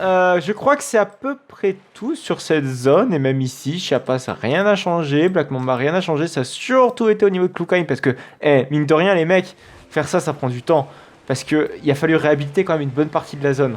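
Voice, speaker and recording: At a fairly quick pace, a man talks in a fairly high voice with lively intonation. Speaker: gaming youtuber. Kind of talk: let's play commentary. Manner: fast; hesitant, many fillers.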